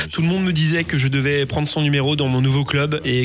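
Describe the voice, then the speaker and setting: Over noticeable background noise, a man talks in a fairly high pitch with ordinary pitch variation. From US, Virginia. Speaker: professional basketball player. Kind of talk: interview.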